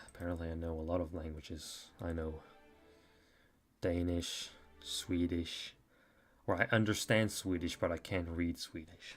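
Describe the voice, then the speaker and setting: A man's very deep, low voice in a monotone, flat delivery at a moderate pace, with long, frequent pauses and music in the background. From western Norway. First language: Norwegian. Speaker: stop-motion video creator streaming. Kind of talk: casual live stream chat. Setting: live stream at computer. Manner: halting, many fillers and repeats.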